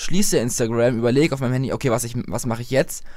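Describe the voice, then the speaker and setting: A man with a medium pitch talks very fast with lively intonation on a very clean recording against a silent background. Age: young (18). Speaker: new podcast co-host. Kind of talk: casual chat.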